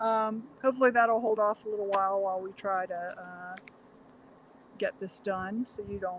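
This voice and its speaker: Soft-spoken and fairly even in intonation, the voice keeps a moderate pace. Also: woman. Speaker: vegan cooking channel co-host. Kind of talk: casual chat. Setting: outdoors.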